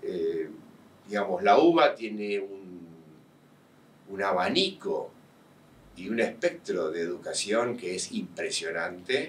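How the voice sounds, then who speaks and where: A man talks at a very slow pace. He has a Rioplatense accent. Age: 60s. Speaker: university professor, tax specialist. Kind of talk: interview. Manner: hesitant, many fillers.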